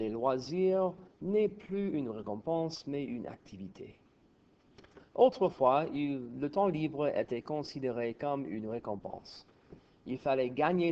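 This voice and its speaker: Using a fairly high pitch and lively intonation, a man speaks at a very slow pace. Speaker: French teacher. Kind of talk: textbook reading aloud as pronunciation model. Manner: some stuttering and stammering.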